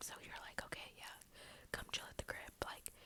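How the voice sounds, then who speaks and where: Noticeable background noise runs under a whisper delivered at a moderate pace. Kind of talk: ASMR storytime, casual talk to camera. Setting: filmed in a bedroom with a basic built-in microphone. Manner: whispered, soft-spoken.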